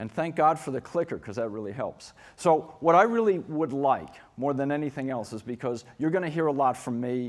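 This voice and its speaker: A man with a New York accent speaks at a fairly high pitch. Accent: New York American. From New York City. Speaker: keynote speaker on school design. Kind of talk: conference keynote talk. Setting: conference stage with audience. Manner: fast; animated.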